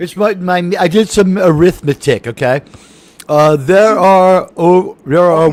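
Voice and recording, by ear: Fairly slow speech in a New York accent, with ordinary pitch variation. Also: man, high pitch for a man.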